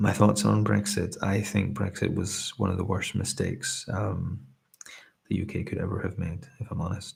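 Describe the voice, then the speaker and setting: With a relaxed tone and vocal fry, a man speaks at a moderate pace, his fairly low pitch showing ordinary variation. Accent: Scottish. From Scotland. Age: 30s. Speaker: ASMR streamer. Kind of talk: casual chat. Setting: live stream. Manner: hesitant.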